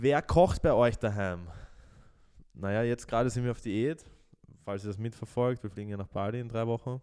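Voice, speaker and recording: A man with a medium-pitched voice and a dark, mellow tone talks at a moderate pace. He leaves long, frequent pauses. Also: ordinary pitch variation. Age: 20s. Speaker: podcast co-host. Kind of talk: casual chat.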